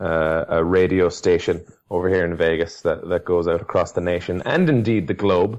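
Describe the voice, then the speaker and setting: A man with an Irish accent speaks at a moderate pace with very even loudness. The background is quiet. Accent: Irish brogue. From Ireland. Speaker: podcast co-host, teacher. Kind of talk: casual chat.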